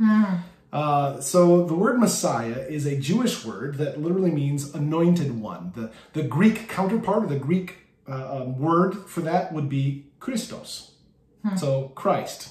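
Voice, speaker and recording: At a fairly slow pace, a man speaks with audible room echo. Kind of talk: bible study teaching. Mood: warm, light humor. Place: home room. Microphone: phone near.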